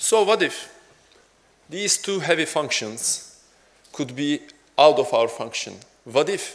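With a Turkish accent, a man speaks at a fairly slow pace and a fairly high pitch, his intonation lively. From Turkey. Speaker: software developer; conference speaker. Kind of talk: conference talk. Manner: halting. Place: hall.

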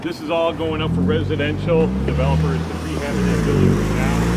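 The pace is fairly quick. Loud background noise runs underneath. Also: man. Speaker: walking tour guide. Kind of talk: tour guide explanation. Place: street. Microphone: camera far.

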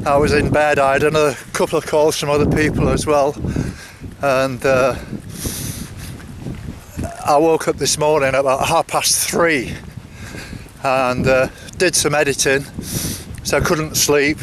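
A man with a fairly high pitch speaks at a fairly slow pace, his pitch moving little, with long, frequent pauses and faint background noise.

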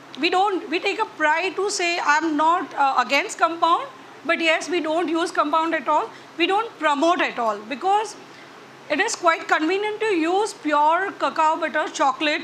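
A woman speaks at a moderate pace with an extremely high pitch. Her pitch varies in an ordinary way, over light background noise. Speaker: chocolatier instructor. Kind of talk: tutorial. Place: hall. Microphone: lapel.

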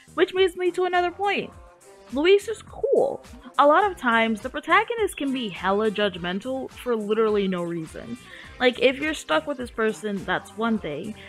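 Over music in the background, a woman speaks at a moderate pace. Her high pitch moves in very wide swings. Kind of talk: video essay narration. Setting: gaming headset mic. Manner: casual.

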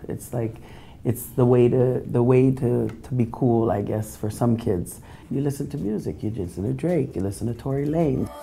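A woman speaks with a dark, mellow tone and vocal fry at a very deep, low pitch. Light background noise sits behind her. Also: ordinary pitch variation, moderate pace. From Toronto, Canada. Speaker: reggae DJ. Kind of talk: interview answer. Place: office.

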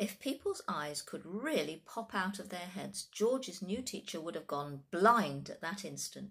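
An unforced reading voice carries through the clip.

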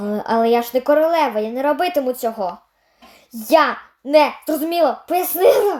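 In a cartoonish character voice, a woman talks at a high pitch and a fairly quick pace.

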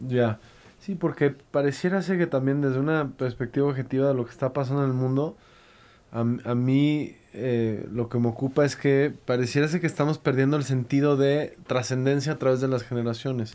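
At a moderate pace, a man talks in a dark, mellow tone at medium pitch with fairly even intonation. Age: 30s. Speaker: podcast host. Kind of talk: casual interview conversation. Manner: halting, many repetitions. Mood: calm, reflective. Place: studio. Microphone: studio mic.

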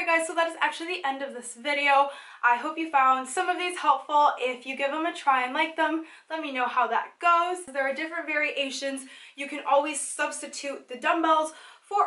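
A woman projects a raised voice with a bright, sharp tone at a moderate pace. Her pitch varies in an ordinary way, and audible room echo surrounds her. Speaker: home fitness vlogger. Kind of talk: casual fitness tutorial. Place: home room. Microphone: camera far.

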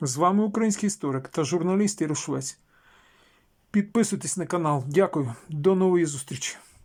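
A man with a high-pitched voice, recorded very cleanly against a silent background. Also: ordinary pitch variation, moderate pace. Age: old. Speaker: video blogger. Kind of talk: political commentary. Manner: rhetorical, indignant.

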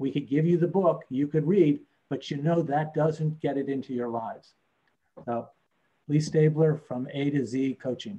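Pitch varies in an ordinary way at a moderate pace. The sound is somewhat breathy, its tone dark and mellow. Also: man, fairly high pitch for a man. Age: 60s. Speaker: business coach. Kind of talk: webinar presentation. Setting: video call webinar. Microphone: video call.

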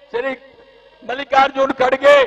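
Loud and extremely high in pitch, a man is speaking. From Haryana, India. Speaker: politician. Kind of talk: political rally speech. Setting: stage at a public rally. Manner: loud, forceful oratory. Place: stage. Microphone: handheld.

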